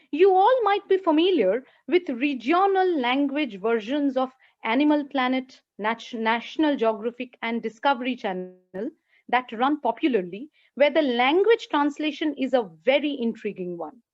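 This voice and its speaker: A woman with a Bengali accent, high-pitched, her pitch swinging very widely at a moderate pace. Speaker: lecturer. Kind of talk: lecture. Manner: halting.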